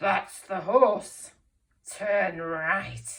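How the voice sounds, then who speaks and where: A woman puts on a raspy character voice. It sits at a medium pitch with fairly even intonation. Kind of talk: read-aloud storytelling. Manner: mean, nasty.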